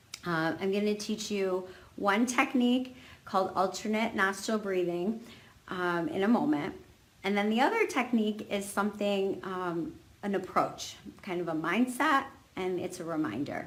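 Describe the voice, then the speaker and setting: Over noticeable background noise, a woman talks at a moderate pace in a medium pitch with ordinary pitch variation. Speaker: fertility coach and yoga teacher. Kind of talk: live video talk. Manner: hesitant, many fillers.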